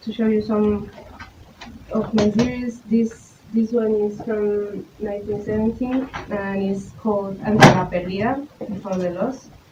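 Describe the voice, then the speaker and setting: Over noticeable background noise, a woman with a Spanish accent speaks slowly enough to count as fairly slow, her fairly high pitch held in a monotone, flat intonation. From Colombia. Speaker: visual artist, photographer. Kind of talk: artist talk presentation. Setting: talk with live audience. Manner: halting, many fillers and repetitions.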